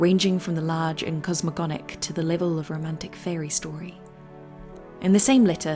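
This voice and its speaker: The voice is monotone, with flat intonation, at a fairly quick pace. Music plays in the background. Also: woman. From New Zealand. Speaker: video essayist. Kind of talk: video essay narration.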